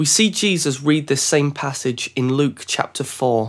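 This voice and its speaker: On a very clean recording with a silent background, a man with a plain, everyday voice speaks at a fairly slow pace and a fairly high pitch. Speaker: podcast host. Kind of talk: podcast interview and scripture reading.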